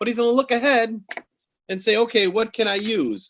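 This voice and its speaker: The man's tone is bright and sharp, and he talks at a moderate pace. The sound is dry and close, with no echo. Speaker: game store owner demonstrating games. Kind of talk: product demonstration.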